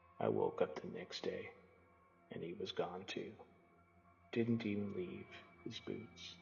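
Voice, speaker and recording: In a put-on character voice, the speaker drawls at a fairly slow pace with long, frequent pauses and a clear echo. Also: man. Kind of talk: campfire-style cosmic horror narration. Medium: read story. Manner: slow-burning, drawling.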